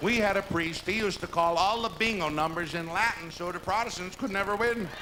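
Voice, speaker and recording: A man raises and projects his voice at a fairly quick pace, with a high pitch and ordinary pitch variation. Noticeable background noise sits behind him. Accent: American. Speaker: lounge entertainer. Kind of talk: live stand-up comedy monologue. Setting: live hotel theater performance.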